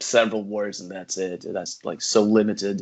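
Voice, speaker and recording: In a Russian accent, a man speaks at a moderate pace in a fairly low voice. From Russia (Yekaterinburg). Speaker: podcast host. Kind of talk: casual chat.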